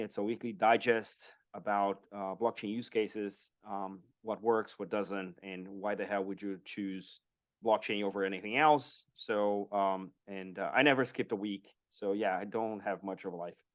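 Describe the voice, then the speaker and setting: With a Portuguese accent, a man speaks at a moderate pace and fairly low pitch, his loudness swinging widely. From Brazil. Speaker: blockchain strategist and podcaster. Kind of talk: interview.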